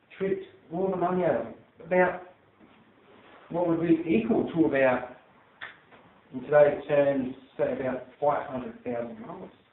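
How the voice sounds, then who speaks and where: Moderate-paced speech from a man amid noticeable background noise. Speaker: Toastmasters club speaker. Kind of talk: storytelling speech to a live audience.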